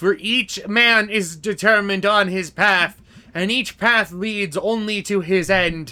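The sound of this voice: Intonation holds fairly even throughout. This is an unforced reading voice.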